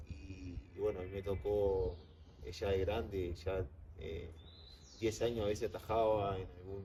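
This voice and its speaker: A man's dark, mellow, somewhat breathy voice with a Uruguayan accent, fairly low in pitch, at a fairly slow pace. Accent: Uruguayan Spanish (rioplatense). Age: 20s. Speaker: professional goalkeeper. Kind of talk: interview. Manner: halting, many fillers.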